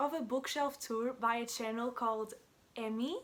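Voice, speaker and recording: In a Portuguese accent, a woman talks at a high pitch with ordinary pitch variation. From Portugal. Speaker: book vlogger. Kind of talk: casual vlog introduction. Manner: hesitant, many filler words.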